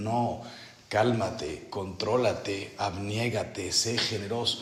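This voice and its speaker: Amid noticeable background noise and audible room echo, a man with medium pitch speaks at a very slow pace. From Mexico. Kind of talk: spiritual retreat meditation talk.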